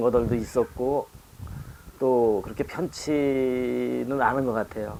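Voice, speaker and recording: A man talks very slowly, his intonation fairly even, with noticeable noise in the background. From Chungcheong, Korea (Chungju). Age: 60s. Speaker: poet. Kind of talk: talk show conversation. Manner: halting.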